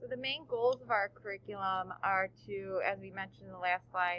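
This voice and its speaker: A woman talking at a moderate pace. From Chicago suburbs, Illinois. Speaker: teacher. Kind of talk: recorded presentation.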